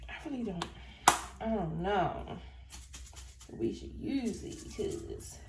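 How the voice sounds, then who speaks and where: Delivered at a moderate pace, the speech carries audible room echo. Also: woman. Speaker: cooking vlogger. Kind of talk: casual cooking tutorial. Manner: halting, stuttering.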